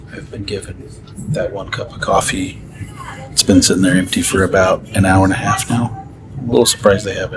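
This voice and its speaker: A man speaks with music playing in the background. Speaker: travel vlogger. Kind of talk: casual vlog narration. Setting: on a train. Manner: soft-spoken.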